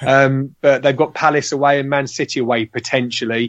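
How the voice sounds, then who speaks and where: A man with an English accent and a fairly high pitch. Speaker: fantasy football player. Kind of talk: casual chat.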